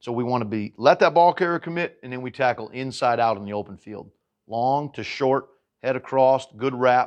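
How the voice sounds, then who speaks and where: A man speaks at a moderate pace in a medium pitch, with ordinary pitch variation. His loudness swings widely against a quiet background. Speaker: high school football coach. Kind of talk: tutorial. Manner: dynamic.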